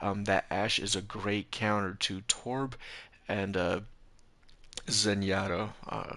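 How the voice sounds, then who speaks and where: A man mumbles in a bright, sharp tone at a fairly low pitch with fairly even intonation. The background is quiet. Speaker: game streamer reviewing gameplay. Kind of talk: live stream gameplay review. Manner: hesitant, many fillers.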